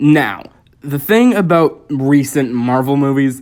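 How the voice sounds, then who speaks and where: This man talks at a very slow pace, his pitch fairly high. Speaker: film reviewer. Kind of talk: unscripted review monologue. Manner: halting, many fillers; casual.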